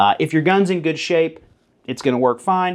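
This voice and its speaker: Against a quiet background, a man with a Southern US accent talks at a fairly quick pace and fairly high pitch, with ordinary pitch variation. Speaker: firearms YouTuber. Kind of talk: informal tutorial. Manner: casual, animated.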